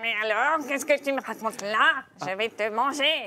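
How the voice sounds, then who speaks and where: This is a put-on character voice. It sounds female and is high in pitch. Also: moderate pace. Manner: menacing, threatening.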